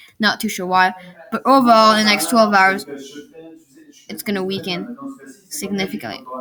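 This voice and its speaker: A woman's medium-pitched voice at a moderate pace, with ordinary pitch variation, big swings in loudness and long, frequent pauses. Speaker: weather video commentator. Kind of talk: live weather commentary.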